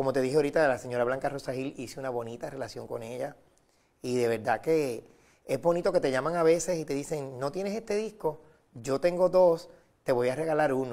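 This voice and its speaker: A man talks at a fairly quick pace with a fairly high pitch. His tone is dark and mellow, set against a quiet background. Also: ordinary pitch variation. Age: 40s. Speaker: record collector; guest. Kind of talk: TV interview. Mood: warm, friendly. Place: studio. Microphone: lapel.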